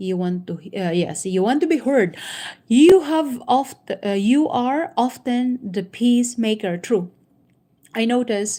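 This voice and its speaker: Speaking very slowly with long, frequent pauses, a woman with a Filipino accent has a dark, mellow tone and lively intonation on a very clean recording with a silent background. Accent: Filipino accent, non-native. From Philippines. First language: Tagalog. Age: 50s. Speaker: YouTuber, inspirational talk host. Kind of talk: reading aloud with commentary, live stream. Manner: halting, many fillers.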